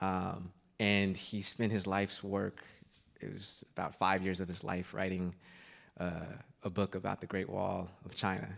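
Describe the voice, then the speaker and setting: Very deep, low-pitched man with an American accent, a fairly slow pace and monotone, flat intonation, against a quiet background. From US Pacific Northwest. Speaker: journalist and author. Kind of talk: onstage book talk. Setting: stage with audience. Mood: warm, reflective. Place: stage. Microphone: handheld.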